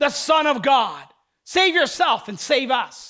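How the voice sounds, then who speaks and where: Raising and projecting his voice, a man speaks at an extremely high pitch with a bright, sharp tone. His pace is fairly slow and his intonation lively. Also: very clean recording, silent background. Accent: American. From southern New Jersey. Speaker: pastor. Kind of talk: sermon.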